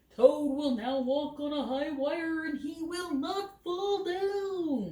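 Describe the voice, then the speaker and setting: A woman speaks in a put-on character voice, pitched high. She talks very slowly. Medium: read story.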